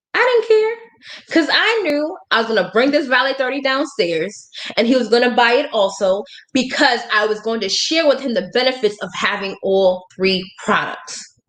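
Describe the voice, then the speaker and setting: Speaking in a high pitch, a woman sounds animated, her intonation lively. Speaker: network marketing trainer. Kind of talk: live stream sales training. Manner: fast.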